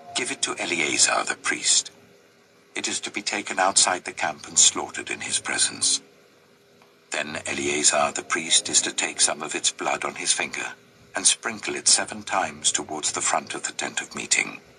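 A man speaks at a moderate pace, with noticeable background noise in the recording. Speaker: scripture reader. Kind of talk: reading aloud of scripture.

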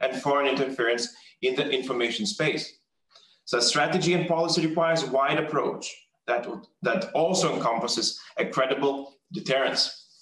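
A man talks fairly quickly, and audible room echo trails his words. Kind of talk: formal prepared speech. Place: office.

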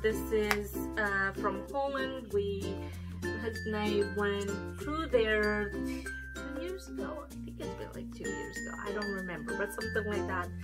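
A woman at a fairly slow pace, with loud music in the background. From Romania. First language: Romanian. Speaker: beauty vlogger. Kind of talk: casual talk to camera. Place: home room. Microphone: camera far.

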